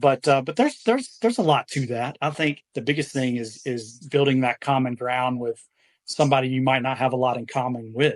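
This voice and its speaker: The speaker has a slight Southern US accent and talks at a fairly quick pace. The sound is dry and close, with no echo. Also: man, medium pitch for a man, fairly even intonation. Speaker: furniture flipper, business owner. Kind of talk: podcast interview. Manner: halting, many fillers.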